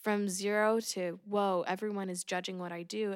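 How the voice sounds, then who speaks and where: A woman with an American accent speaks at a medium pitch with fairly even intonation. The recording is very clean, with a silent background. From US, Oregon. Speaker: singer-songwriter and music teacher. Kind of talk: casual interview chat.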